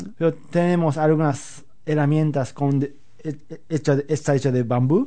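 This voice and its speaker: A man with a fairly high pitch and a dark, mellow tone speaks at a fairly slow pace. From Japan, Osaka. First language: Japanese (speaking Spanish). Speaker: flamenco guitarist. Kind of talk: interview. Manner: halting.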